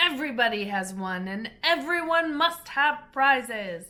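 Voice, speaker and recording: High pitch marks this woman's speech. It is a put-on character voice. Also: moderate pace. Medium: read story. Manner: pompous, declaring.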